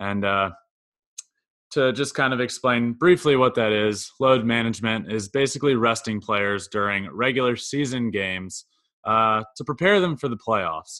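With an American accent, a man talks at a moderate pace in a bright, sharp tone, his medium pitch showing ordinary variation against a quiet background. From Virginia (Goochland, near Richmond). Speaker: sports podcast co-host. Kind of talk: casual chat.

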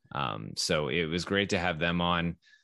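With an American accent, a man speaks in a very deep, low pitch, with vocal fry and a bright, sharp tone against a quiet background. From Texas. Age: 30s. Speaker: podcast host and baseball writer. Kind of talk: casual interview chat.

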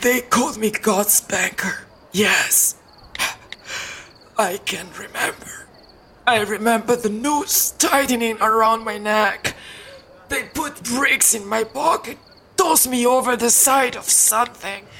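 A woman's put-on character voice, fairly high in pitch, at a fairly slow pace. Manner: disoriented, frightened, anguished.

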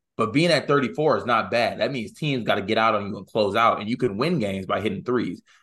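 Energetic in tone, a man speaks at a very fast pace and a medium pitch, with lively intonation and hardly any pauses. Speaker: sports podcast co-host. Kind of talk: casual chat.

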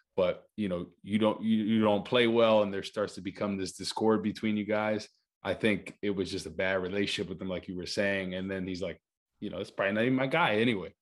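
In a normal speaking voice, a man with an American accent talks fairly quickly at a fairly low pitch. His intonation is fairly even, and the background is quiet. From New Jersey (Rutherford). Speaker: former NFL player, TV analyst. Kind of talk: casual chat.

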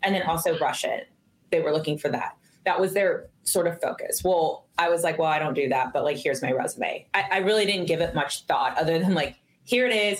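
A woman talks at a fairly quick pace in a normal speaking voice, with medium pitch and lively intonation. Her loudness stays very even. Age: 40s. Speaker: retired intelligence officer and professor. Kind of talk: interview storytelling.

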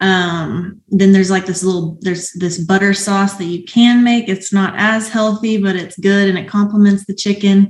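With an American accent, a woman speaks in a somewhat breathy, medium-pitched voice with monotone, flat intonation. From Arkansas, US South (Springdale). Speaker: professional hurdler. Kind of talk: casual interview.

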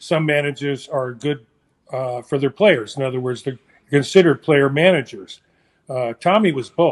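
A man with an unremarkable speaking voice, fairly high pitch, and moderate pace. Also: ordinary pitch variation. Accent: American. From San Francisco, California. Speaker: former baseball player. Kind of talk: casual chat.

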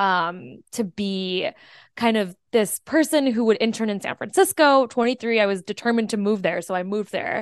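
A woman with an ordinary speaking voice talks at a moderate pace and medium pitch, with ordinary pitch variation. The sound is dry and close with no echo, and the background is quiet. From US, Indian immigrant family. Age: 20s. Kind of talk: casual chat. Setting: video call.

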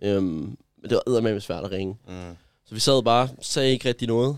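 Fairly even intonation marks speech delivered at a fairly quick pace. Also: man. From Denmark, Gentofte. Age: 20s. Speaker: influencer. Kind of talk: personal testimony. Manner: halting.

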